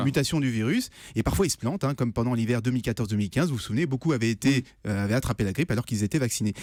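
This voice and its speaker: The man's medium-pitched voice comes through on a very clean recording against a silent background. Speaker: radio innovation columnist. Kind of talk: radio news segment explanation. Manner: conversational, hesitant.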